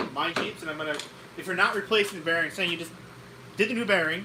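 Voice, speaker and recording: A raised, projected voice with ordinary pitch variation carries over noticeable background noise and audible room echo. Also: man. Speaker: car repair channel co-host. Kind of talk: live stream chat. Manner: halting.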